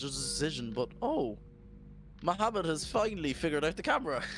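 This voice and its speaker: A man talks at a fairly quick pace and a fairly high pitch. His intonation is lively, with music in the background. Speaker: sim racing commentator. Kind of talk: live commentary. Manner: animated.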